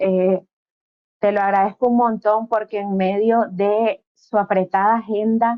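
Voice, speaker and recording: Speaking fairly slowly, a woman keeps a monotone, flat intonation at a medium pitch. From Nicaragua, Caribbean coast. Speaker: interviewer. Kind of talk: interview.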